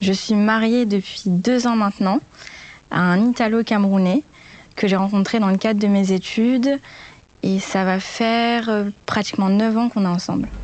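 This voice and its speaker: A woman talks at a moderate pace and a medium pitch. Her intonation stays fairly even and her loudness barely changes. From France (Rouen, Normandy) and Morocco. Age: 20s. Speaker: HR talent recruiter. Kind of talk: podcast interview. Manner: hesitant with frequent fillers.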